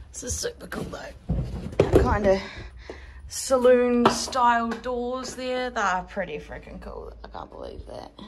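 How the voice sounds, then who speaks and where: A woman at a fairly slow pace, music playing in the background. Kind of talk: casual vlog chat. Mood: excited then sympathetic. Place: home room. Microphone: phone near.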